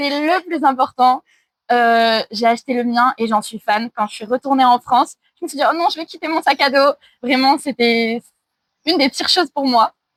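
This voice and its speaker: Moving at a moderate pace, the speech shows ordinary pitch variation and big swings in loudness. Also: woman, high pitch for a woman. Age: 20s. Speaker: traveller and online French teacher. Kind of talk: casual interview.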